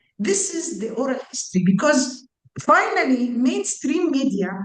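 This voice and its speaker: The room echo is audible around a woman's voice. Her pitch swings very widely. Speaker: psychiatrist. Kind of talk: panel discussion. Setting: video call.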